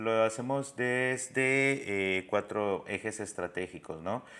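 On a very clean recording with a silent background, a man speaks at medium pitch and a very slow pace, his tone bright and sharp, with ordinary pitch variation. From Guatemala City. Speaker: migrant rights worker. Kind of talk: interview.

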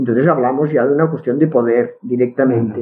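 A woman speaks with a Catalan accent. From Catalonia. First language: Catalan (speaking Spanish). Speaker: linguist. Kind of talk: interview. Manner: halting, many repetitions.

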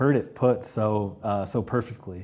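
A man speaks in an ordinary speaking voice. His pitch sits fairly low. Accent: American. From Texas, small town. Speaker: real estate podcast host. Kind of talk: casual interview. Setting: studio with camera.

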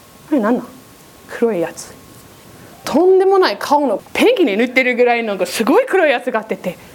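Amid noticeable background noise, a woman speaks at a high pitch and a fairly quick pace. Her pitch swings very widely. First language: English (speaking Japanese). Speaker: preacher. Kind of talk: sermon.

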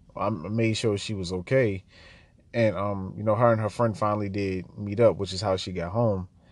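A man with an American accent speaks in a normal speaking voice, fairly low in pitch, at a moderate pace with fairly even intonation over a quiet background. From US, Baltimore (east side). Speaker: podcast host. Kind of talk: personal storytelling monologue. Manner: casual, many filler words.

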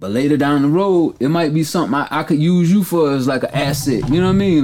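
This man has an ordinary speaking voice, fairly high in pitch, delivered at a fairly quick pace with ordinary pitch variation. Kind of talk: casual chat.

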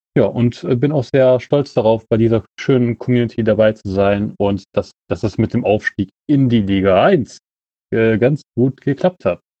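A man with medium pitch and ordinary pitch variation delivers his words at a fairly slow pace. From Kempten, Bavaria. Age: 20s. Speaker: amateur runner. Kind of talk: recorded voice message. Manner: halting.

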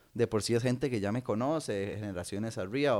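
A man talks at a very fast pace with a Costa Rican accent. The recording is very clean, with a silent background. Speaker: comedian. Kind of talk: casual chat.

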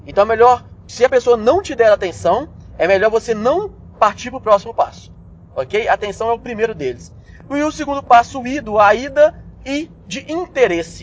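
Against noticeable background noise, a man speaks in an extremely high pitch with lively intonation. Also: moderate pace. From Brazil, Belo Horizonte. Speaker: business management podcaster. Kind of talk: solo instructional podcast. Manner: casual, conversational with frequent fillers and repetitions.

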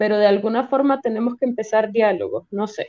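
A woman's voice has a dark, mellow tone. Her pitch varies in an ordinary way. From Venezuela, Caracas. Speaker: poet and spoken word artist. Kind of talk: casual panel conversation.

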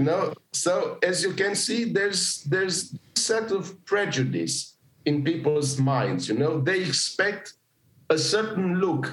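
A man with a Romanian accent talks at a fairly slow pace in a high pitch with ordinary pitch variation. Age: 40s. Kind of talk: interview conversation.

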